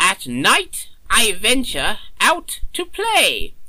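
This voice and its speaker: Over light background noise, a man performs a put-on character voice at a very slow pace. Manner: genial, slightly absent-minded, theatrical.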